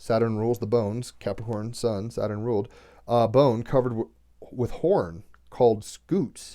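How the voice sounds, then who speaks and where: At a moderate pace, the speaker uses a dark, mellow tone with ordinary pitch variation. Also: man, medium pitch for a man. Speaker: tarot and astrology reader. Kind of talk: reading aloud with commentary. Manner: halting.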